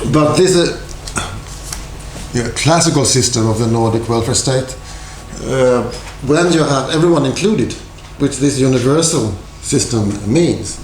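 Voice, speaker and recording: A man with a Swedish accent speaks at a fairly slow pace and a medium pitch, with long, frequent pauses and very even loudness. Noticeable background noise and audible room echo fill the recording. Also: ordinary pitch variation. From Sweden. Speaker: university lecturer. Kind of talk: lecture.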